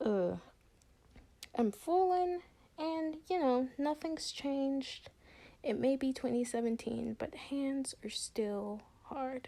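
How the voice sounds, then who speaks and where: Speech moves at a very slow pace. Long pauses come often. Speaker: digital artist and video creator. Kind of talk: voiceover commentary over a speed paint. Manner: halting, stuttering with many fillers; casual, rambling.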